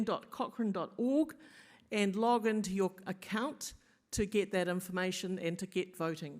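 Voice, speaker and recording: Speaking in a New Zealand accent, a woman talks at a moderate pace with a medium pitch and ordinary pitch variation. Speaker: meeting chair. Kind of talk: formal meeting address. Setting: in-person meeting streamed on Zoom.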